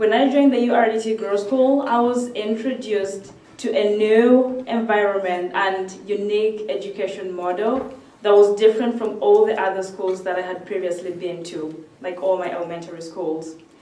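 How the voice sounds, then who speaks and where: A woman talks at a medium pitch with ordinary pitch variation and hardly any pauses. Noticeable background noise and audible room echo are present. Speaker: student and speaker. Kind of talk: speech. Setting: stage with audience. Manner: fast.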